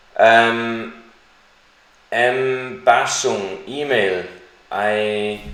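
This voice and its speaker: Amid noticeable background noise and audible room echo, a man talks at a medium pitch with fairly even intonation. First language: not English. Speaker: crypto YouTuber. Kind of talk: live stream Q&A. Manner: slow; hesitant, with fillers.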